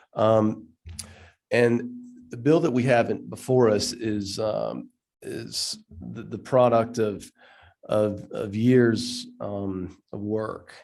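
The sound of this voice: A man speaks at a slow pace with a fairly low pitch and vocal fry. His tone is slightly mellow and his intonation fairly even.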